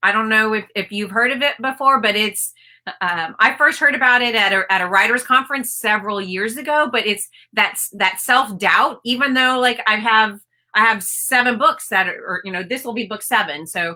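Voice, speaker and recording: In a bright, sharp tone with an American accent, a woman talks at a moderate pace with ordinary pitch variation. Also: fairly high pitch for a woman. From US, Maryland. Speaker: author. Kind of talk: interview. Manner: hesitant, many fillers.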